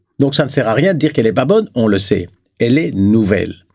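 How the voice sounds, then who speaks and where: A man's very fast delivery, medium in pitch, with a dark, mellow tone. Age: 70s. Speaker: business philosopher. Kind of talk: interview. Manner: halting.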